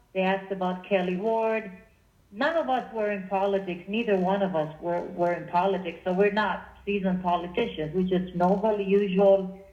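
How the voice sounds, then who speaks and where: A woman's medium-pitched voice with a New Jersey accent at a moderate pace, with audible room echo. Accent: sounds like New Jersey. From Israel. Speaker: political meetup group organizer. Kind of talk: radio interview. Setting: phone call. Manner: animated.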